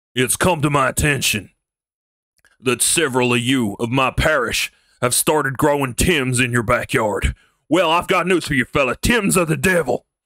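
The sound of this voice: A man puts on a character voice in a Texan accent at a medium pitch. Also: moderate pace.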